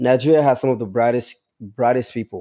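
A man's dark, mellow voice at a very fast pace, with ordinary pitch variation, dry and close with no echo, in a very clean recording with a silent background. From Congo. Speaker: software developer. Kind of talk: casual interview.

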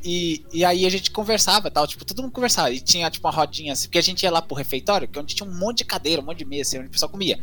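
Racing along at a very fast pace with hardly any pauses, a man with a high pitch shows ordinary pitch variation against noticeable background noise. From Minas Gerais, Brazil (rural). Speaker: university student. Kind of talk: casual chat.

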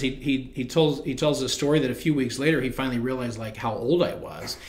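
A man with an American accent and fairly even intonation, amid audible room echo and noticeable background noise. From central Illinois, US. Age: 40s. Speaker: retired bank CEO. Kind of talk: interview conversation. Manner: many fillers and repeated words.

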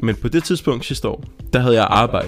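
A man speaks at a fairly quick pace with a medium pitch. Noticeable background noise runs under his voice. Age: 20s. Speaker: podcast co-host. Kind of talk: casual chat.

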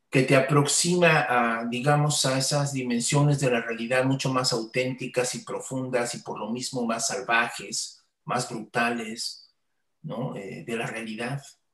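Fairly even intonation comes through in a Mexican accent. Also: man, medium pitch for a man, fairly slow pace. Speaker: podcast host. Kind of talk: casual chat. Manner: halting.

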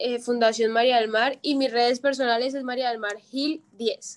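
At a fairly slow pace and with fairly even intonation, the speech comes through in a very clean recording with a silent background. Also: woman. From Colombia, Villavicencio (Llanos Orientales). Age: young. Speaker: psychology student and foundation founder. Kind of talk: testimony.

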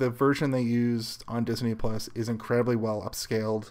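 A man with a medium-pitched voice speaks in an ordinary speaking voice. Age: 30s. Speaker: podcast host. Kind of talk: casual chat.

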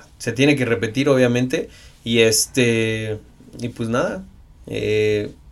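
A man speaks at a very slow pace with long, frequent pauses. His medium pitch follows fairly even intonation. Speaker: sports photographer and triathlete. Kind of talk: casual chat.

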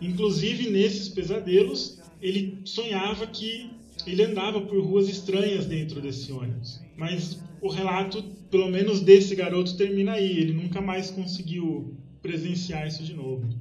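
A man with a high pitch and ordinary pitch variation speaks at a moderate pace, his loudness swinging widely in a room with audible echo. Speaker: podcast guest, story researcher. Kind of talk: storytelling.

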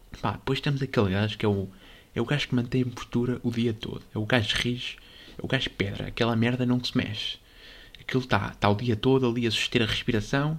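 With a European Portuguese accent, a man speaks at a very fast pace in a medium pitch. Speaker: podcast host. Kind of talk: casual monologue. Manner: animated.

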